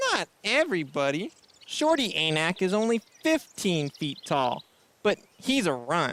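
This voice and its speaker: This is a put-on character voice at a middle pitch. It moves at a moderate pace. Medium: audio drama. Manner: friendly, casual.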